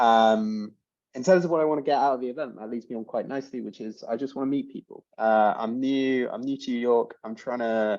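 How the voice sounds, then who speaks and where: Over a quiet background, a man with a medium pitch speaks fairly quickly in an English accent with ordinary pitch variation. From France (Alps), English. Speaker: startup co-founder. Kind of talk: casual self-introduction.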